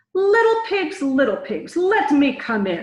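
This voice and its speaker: A woman does a put-on character voice at an extremely high pitch with very wide pitch swings. She goes at a fairly slow pace, with slight echo. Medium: read story. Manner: menacing.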